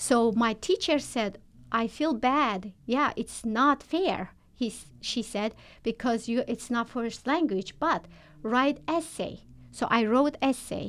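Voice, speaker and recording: Her pitch is fairly high for a woman, with ordinary variation, and she speaks at a very slow pace. The recording is very clean, the background silent. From Turkmenistan. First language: not English. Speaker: nurse. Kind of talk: interview. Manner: halting.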